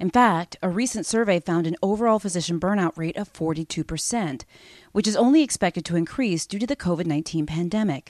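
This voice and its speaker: A woman with an unremarkable speaking voice talks at a moderate pace and medium pitch with ordinary pitch variation, in a dry, close sound with no echo. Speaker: physician podcast host. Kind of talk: interview. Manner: formal.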